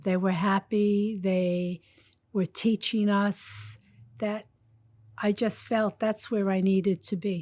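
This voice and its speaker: A woman speaks very slowly with a New York accent, leaving long, frequent pauses and keeping a fairly even intonation. The recording is very clean with a silent background and a dry, close sound with no echo. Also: medium pitch for a woman. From Brooklyn, New York. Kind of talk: interview.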